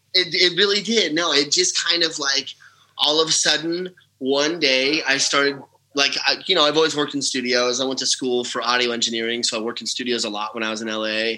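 Here a man has an ordinary speaking voice, pitched fairly high. His intonation is lively and his pace fairly quick. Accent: American. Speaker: country singer-songwriter. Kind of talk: casual interview chat.

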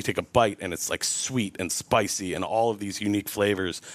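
With an American accent and a plain, everyday voice, a man talks at a fairly quick pace in a fairly low pitch with fairly even intonation. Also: very clean recording, silent background. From New York. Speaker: executive chef. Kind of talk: casual interview.

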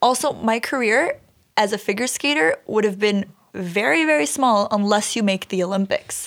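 A woman with an unremarkable speaking voice talks at a moderate pace in a fairly high pitch, her intonation lively and her loudness very even. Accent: Canadian. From Canada, Brampton, Ontario. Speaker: journalist and pageant winner. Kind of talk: casual chat. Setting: studio.

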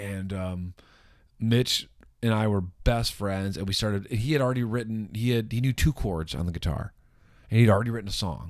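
Moderate pace and ordinary pitch variation in a very clean recording with a silent background. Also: man, fairly low pitch for a man. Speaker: band singer. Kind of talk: casual interview chat.

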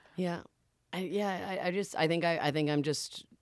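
A woman speaking at a moderate pace. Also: very clean recording, silent background. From Boston. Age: 30s. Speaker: stand-up comedian. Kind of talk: casual chat. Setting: studio. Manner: halting.

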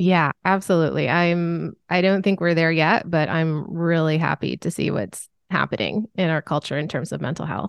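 Hardly any pauses break this moderate-paced speech in an Upper Midwest accent with ordinary pitch variation. The sound is dry and close with no echo, over a quiet background. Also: woman, fairly low pitch for a woman. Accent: Upper Midwest American. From US Midwest. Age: 40s. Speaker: author and sensitivity expert. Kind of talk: casual interview.

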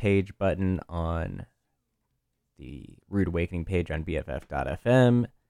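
A man's very deep, low voice with an American accent, relaxed and with a dark, mellow tone, ordinary pitch variation, a dry, close sound with no echo, and a very clean recording over a silent background. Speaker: radio host. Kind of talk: radio DJ patter between songs. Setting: studio. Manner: relaxed, chatty, casual; fillers and stumbles, informal.

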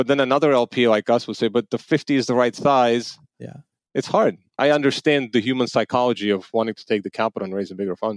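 A man speaks at a very fast pace in dry, close sound with no echo. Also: medium pitch for a man, ordinary pitch variation, big swings in loudness. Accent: Armenian. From Armenia. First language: Armenian. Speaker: venture capital limited partner. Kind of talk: interview.

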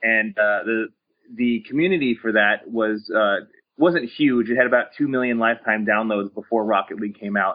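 He has a normal speaking voice, medium pitch, ordinary pitch variation and a moderate pace. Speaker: game studio marketing executive. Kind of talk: recorded interview.

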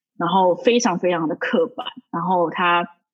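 Her intonation is lively, and the pitch sits in the medium range for a woman. She speaks at a fairly slow pace. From Taiwan. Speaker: podcast guest, Taiwanese professional in New York. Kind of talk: casual chat. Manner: halting, many fillers and repetitions.

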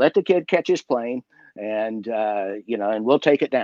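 A man with an American accent and an ordinary speaking voice, at a moderate pace with lively intonation, dry and close with no echo. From West Virginia. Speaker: magician. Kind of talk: casual chat.

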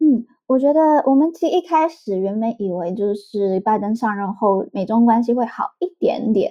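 A woman talks with lively intonation at a fairly high pitch. Her pace is moderate, with hardly any pauses. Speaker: editor of a US-Taiwan policy site, author. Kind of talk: podcast interview, political analysis. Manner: halting, many fillers.

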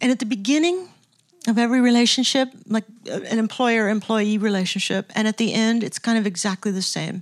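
A woman with an American accent and an unremarkable speaking voice, fairly high in pitch with ordinary pitch variation, at a fairly quick pace, with a dry, close sound and no echo. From Southern California. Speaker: music producer and professor. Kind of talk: lecture interview on stage. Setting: stage with audience.

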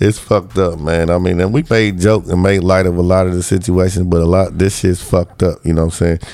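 Very fast speech with hardly any pauses, fairly even intonation and very even loudness. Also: man, very deep, low pitch for a man. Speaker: podcast co-host.

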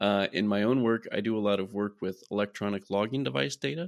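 A man with an American accent and an ordinary speaking voice talks at a fairly low pitch and a fairly quick pace, the sound dry and close with no echo and the background quiet. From US Midwest, Iowa. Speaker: research scientist. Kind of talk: interview.

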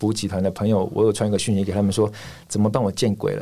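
Recorded very cleanly against a silent background, the voice has a dark, mellow tone. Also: man. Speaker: ultramarathon runner. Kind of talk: casual interview.

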